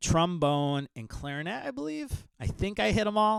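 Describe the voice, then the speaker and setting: On a very clean recording with a silent background, a man's pitch swings very widely. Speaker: podcast host. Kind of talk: podcast monologue intro. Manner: casual with fillers and stumbles.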